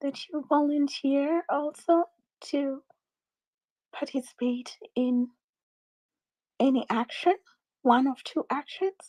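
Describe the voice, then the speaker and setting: A woman's quiet, dark, mellow, high-pitched voice at a very slow pace, with fairly even intonation and long, frequent pauses. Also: dry, close sound with no echo. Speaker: space host. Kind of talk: live audio space discussion. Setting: online audio space.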